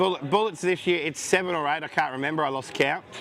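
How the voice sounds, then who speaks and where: There is noticeable background noise behind this man. He has an Australian accent and ordinary pitch variation. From Tasmania, Australia. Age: 40s. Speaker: poker player. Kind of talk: interview.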